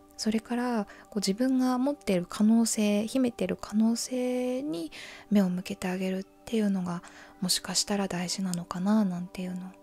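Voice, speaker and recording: A woman talks at a moderate pace in a calm tone. Music plays in the background. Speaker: mental health radio host. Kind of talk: sleep-inducing confessional radio talk. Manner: soft, calm, conversational.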